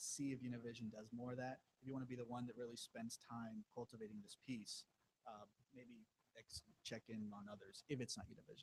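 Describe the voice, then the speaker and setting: A man with an American accent speaks very fast at a medium pitch, his somewhat breathy voice dry and close with no echo. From Rio Grande Valley, Texas. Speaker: TV news reporter. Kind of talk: panel Q&A with students. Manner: halting, many false starts.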